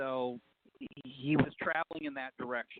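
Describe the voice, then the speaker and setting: Using a normal speaking voice, the speaker keeps a moderate pace with ordinary pitch variation. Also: man. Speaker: farm property owner. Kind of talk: interview answer.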